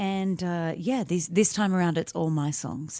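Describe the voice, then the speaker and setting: A woman talks in a dark, mellow tone at a moderate pace with ordinary pitch variation, captured in a very clean recording with a silent background. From Australia. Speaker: singer-songwriter. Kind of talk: radio interview. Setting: radio studio.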